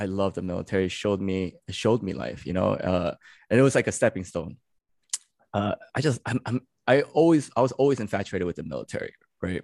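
A man talks at a very fast pace in an American accent, his fairly low pitch carrying lively intonation and vocal fry. The sound is dry and close, with no echo. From New York City. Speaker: Marine combat veteran and social media storyteller. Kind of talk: casual interview chat.

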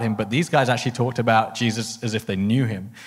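Speaking with a southern English accent, a man keeps his medium-pitched voice to fairly even intonation. The recording is very clean, with a silent background. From England, Harpenden area. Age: 30s. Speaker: missionary. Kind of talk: casual interview. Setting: stage.

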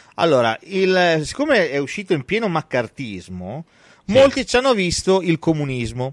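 A man with a high voice speaks in an animated tone, his pitch swinging very widely, on a very clean recording with a silent background and a dry, close sound with no echo. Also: moderate pace. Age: young. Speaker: film podcast host. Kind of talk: casual chat.

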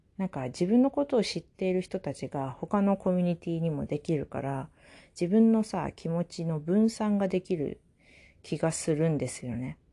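In a very clean recording with a silent background, a woman speaks at a moderate pace. Her fairly low, dark, mellow voice has lively intonation. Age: 20s. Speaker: podcast host. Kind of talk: casual solo talk. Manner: casual with frequent fillers and laughs.

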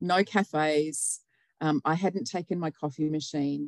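In an Australian accent, a woman speaks with a very deep, low pitch, and the sound is dry and close with no echo. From New South Wales, Australia. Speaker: nurse and health operations manager. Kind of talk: casual interview chat.

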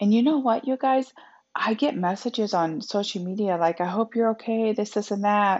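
An unremarkable speaking voice belongs to this woman, pitched fairly high with ordinary pitch variation. She keeps a moderate pace and very even loudness. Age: 40s. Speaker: podcast host, motivational speaker and author. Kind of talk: solo faith-based self-help talk. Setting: home office.

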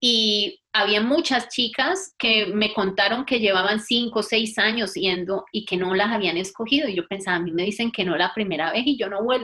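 A woman speaks at a moderate pace with hardly any pauses, her pitch fairly high and ordinary in its variation. She has a plain, everyday voice. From Colombia, Valle del Cauca (Buga). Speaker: physiotherapist and researcher. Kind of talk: interview.

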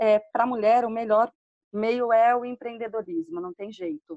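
A dry, close sound with no echo at a moderate pace. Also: woman. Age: 40s. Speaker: entrepreneur, podcast community member. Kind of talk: casual chat.

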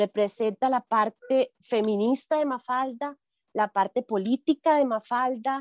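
A woman's high voice, fairly slow in pace, with ordinary pitch variation. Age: 40s. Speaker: shop owner. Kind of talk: interview.

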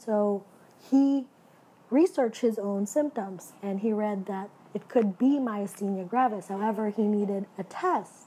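Speaking at a fairly slow pace, a woman uses a medium pitch with ordinary pitch variation and a dark, mellow tone. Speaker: podcast host, nurse practitioner student. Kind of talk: solo podcast monologue. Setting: home recording.

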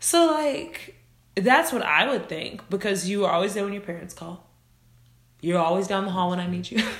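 A medium-pitched woman's voice with lively intonation at a moderate pace, over noticeable background noise. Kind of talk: casual chat. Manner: loud, animated.

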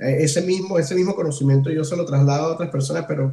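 A man is speaking here. His voice is somewhat breathy, with a dark, mellow tone. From Venezuela, Ciudad Guayana. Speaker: cuatro musician. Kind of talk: casual interview. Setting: host's home.

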